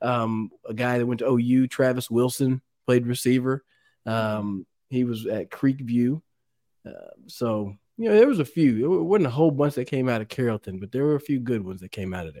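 With a Texan accent, a man speaks in a dark, mellow tone with ordinary pitch variation and big swings in loudness, on a very clean, dry, close recording with a silent background and no echo. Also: medium pitch for a man, moderate pace. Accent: Texan American. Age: 40s. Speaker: former pro football player. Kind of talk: casual chat.

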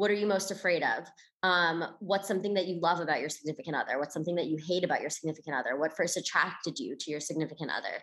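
A woman with a fairly low pitch talks at a very fast pace, her intonation lively. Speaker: podcast host. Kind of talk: casual chat.

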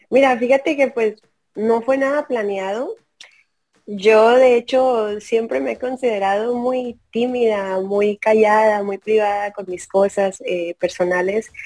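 A woman with a fairly high pitch talks at a very slow pace, her pitch varying in an ordinary way. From Tamaulipas border, Mexico. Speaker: football fan and social media figure. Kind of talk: interview.

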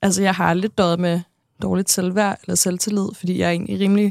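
On a very clean recording with a silent background, a woman speaks at a moderate pace with monotone, flat intonation. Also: dry, close sound with no echo. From Denmark, Næstved (Zealand). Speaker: TV personality. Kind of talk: interview. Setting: studio.

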